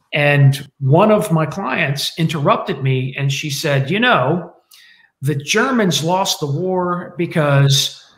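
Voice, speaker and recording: A man with an American accent speaks at a fairly slow pace in a fairly high pitch, his intonation lively, against a quiet background with audible room echo. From United States. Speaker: military historian; guest. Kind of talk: panel discussion. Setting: video call. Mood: reflective, slightly wry. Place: home room. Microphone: webcam.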